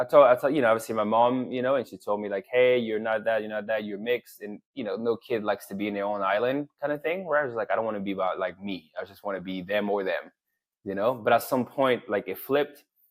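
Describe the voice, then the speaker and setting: A man with a French accent, medium pitch and ordinary pitch variation, talking at a very fast pace with hardly any pauses. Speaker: men's coach. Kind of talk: interview.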